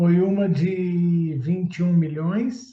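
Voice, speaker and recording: A man's high-pitched voice with a dark, mellow tone and ordinary pitch variation. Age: 60s. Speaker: public tender consultant. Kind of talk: interview testimony.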